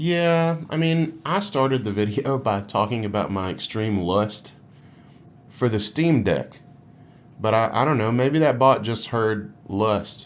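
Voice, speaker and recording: A man speaks at a fairly slow pace with a Southern US accent, his medium-pitched voice carrying lively intonation. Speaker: gaming podcast host and musician. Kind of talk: casual chat.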